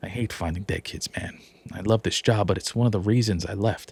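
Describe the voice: A man talks at a fairly quick pace and a fairly low pitch, with a slightly husky edge, vocal fry, a slightly mellow tone and ordinary pitch variation.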